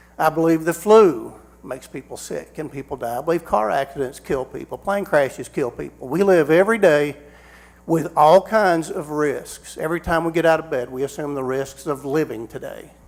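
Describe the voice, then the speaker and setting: A man with a fairly high pitch talks at a moderate pace, his loudness swinging widely while his pitch varies in an ordinary way. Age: 60s. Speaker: public commenter at school board meeting. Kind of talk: public comment speech. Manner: unscripted, with repetitions and fillers.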